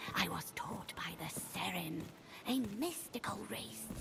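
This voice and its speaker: A female-sounding put-on character voice, whispering at a fairly slow pace. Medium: video game. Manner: solemn, hushed.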